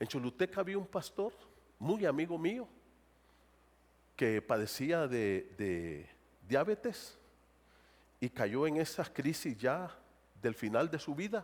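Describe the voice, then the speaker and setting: In a Honduran accent, a man speaks very slowly with long, frequent pauses at a fairly high pitch, his voice making very wide pitch swings. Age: 60s. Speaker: pastor. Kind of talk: sermon.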